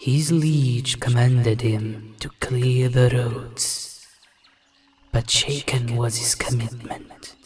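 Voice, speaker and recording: Very slow, monotone, flat delivery from a man at medium pitch, with faint music in the background. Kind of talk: dramatic epic narration. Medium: machinima. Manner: grave, archaic inverted phrasing.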